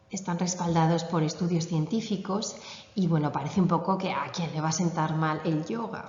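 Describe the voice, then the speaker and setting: In a room with audible echo and noticeable background noise, a woman speaks at a moderate pace with a fairly low pitch and fairly even intonation. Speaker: yoga instructor. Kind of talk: conference talk.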